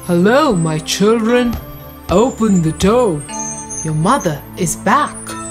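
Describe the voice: A female-sounding, hoarse, put-on character voice speaks at a medium pitch and a fairly slow pace with clear music in the background.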